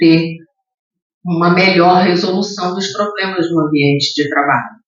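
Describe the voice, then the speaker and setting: A fairly slow pace with audible room echo. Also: woman. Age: 60s. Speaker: diversity and inclusion leader, speaker. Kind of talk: lecture. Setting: theatre stage with audience.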